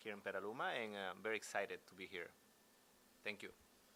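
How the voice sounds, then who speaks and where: The man's pitch is fairly low. His tone is bright and sharp. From Ecuador. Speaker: business owner. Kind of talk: panel discussion. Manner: halting, many fillers.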